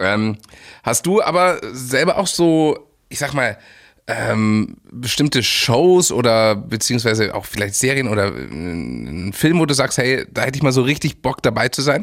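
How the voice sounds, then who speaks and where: A man speaks at a fairly slow pace in a plain, everyday voice, pitched medium. His intonation is lively. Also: very clean recording, silent background. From Munich, Bavaria. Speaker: podcast host. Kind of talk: interview.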